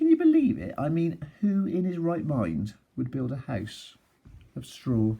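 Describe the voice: A man puts on a character voice at a medium pitch with a dark, mellow tone, a slightly husky edge and vocal fry. His pitch swings very widely at a fairly slow pace.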